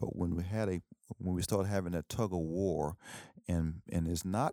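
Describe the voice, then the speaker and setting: The speaker is a man. He has an East Texas accent. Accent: East Texas Southern US. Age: 60s. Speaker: professor and Air Force veteran. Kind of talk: casual interview.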